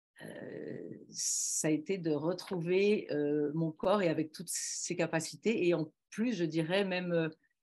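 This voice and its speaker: A woman speaks at a very slow pace. Her fairly low voice keeps fairly even intonation. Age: 60s. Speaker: former speed skier. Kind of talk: testimony. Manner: hesitant, many fillers.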